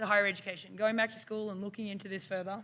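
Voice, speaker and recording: A woman talks with an Australian accent. Her tone is bright and sharp. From Australia, Melbourne. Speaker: university instructor. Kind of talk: conference presentation.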